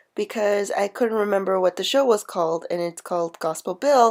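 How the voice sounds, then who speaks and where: At a moderate speed, someone talks with music in the background. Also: woman. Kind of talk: casual voiceover narration of crafting video.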